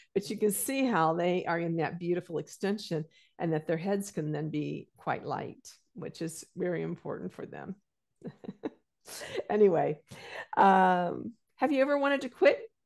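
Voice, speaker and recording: A woman speaks at a moderate pace, her pitch swinging very widely. Long pauses come often, over a quiet background. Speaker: Feldenkrais teacher. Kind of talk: interview questions. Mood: warm, smiling. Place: home room. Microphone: video call.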